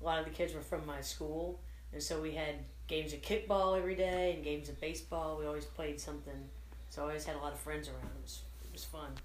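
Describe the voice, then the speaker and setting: A woman speaks at a very fast pace. Audible room echo is heard. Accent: American. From US South, Atlanta, Georgia. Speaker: interviewee, family member. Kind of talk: casual interview.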